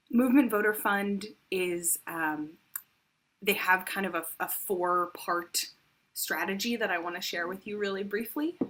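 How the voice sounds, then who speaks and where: Soft-spoken and at a fairly slow pace, the voice shows ordinary pitch variation. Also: woman, medium pitch for a woman. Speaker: worship service leader. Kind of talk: offering announcement in worship service. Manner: halting with frequent fillers.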